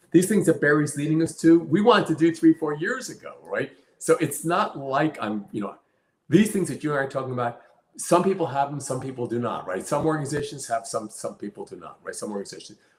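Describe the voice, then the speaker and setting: Speaking at a very fast pace, a man with a fairly high pitch sounds somewhat breathy, his intonation lively and his loudness swinging widely. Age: 70s. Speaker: company CEO. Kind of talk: interview. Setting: live stream.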